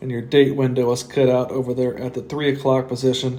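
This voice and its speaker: A man's medium-pitched voice holds fairly even intonation against noticeable background noise. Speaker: watch reviewer. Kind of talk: product review. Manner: casual with frequent fillers.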